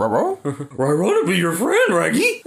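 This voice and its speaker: In a put-on character voice, the words come out at a fairly slow pace. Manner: friendly.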